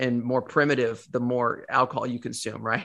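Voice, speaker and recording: A man with a bright, sharp tone and an American accent, at a fairly quick pace over a quiet background. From US South, Northwest Arkansas. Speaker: supplement company co-founder. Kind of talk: interview. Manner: repetitive false starts.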